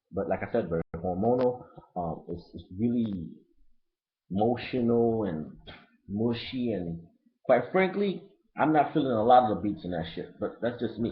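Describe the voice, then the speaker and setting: A speaker with a slight Haitian accent talks at a moderate pace. The intonation is lively, broken by long, frequent pauses. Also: man, medium pitch for a man. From Brooklyn, New York (Haitian family). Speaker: hip-hop album reviewer, vlogger. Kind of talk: casual webcam review monologue. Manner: loose, unedited, filler-heavy.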